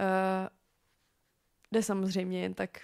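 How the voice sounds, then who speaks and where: On a very clean recording with a silent background and a dry, close sound with no echo, a woman speaks at a fairly slow pace with medium pitch. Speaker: podcast host. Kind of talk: solo podcast monologue. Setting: home. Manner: halting, frequent fillers.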